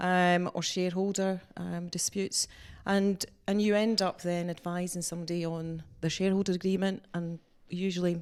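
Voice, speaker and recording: The speaker has a Scottish accent and monotone, flat intonation. The recording is very clean, with a silent background. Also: woman. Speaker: employment lawyer, business owner. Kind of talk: interview. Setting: office.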